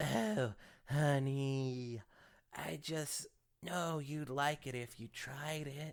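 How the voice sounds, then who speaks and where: This is a put-on character voice pitched low to middle. It moves at a very slow pace. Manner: doting, coaxing, presumptuous.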